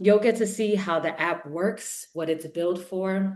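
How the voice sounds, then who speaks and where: A woman with a New York accent, medium in pitch and animated in tone, at a moderate pace over a quiet background. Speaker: event host. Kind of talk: live launch event hosting. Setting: livestream.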